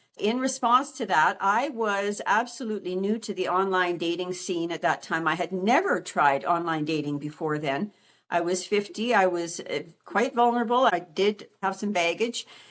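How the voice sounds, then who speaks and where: In a Canadian accent, the speaker uses lively intonation at a moderate pace, with hardly any pauses. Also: woman, medium pitch for a woman. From Canada, Alberta. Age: 60s. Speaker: retiree vlogger. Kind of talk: casual monologue to camera. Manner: halting, with fillers.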